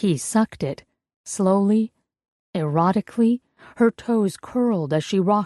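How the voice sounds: The background here is quiet. A natural reading voice is heard.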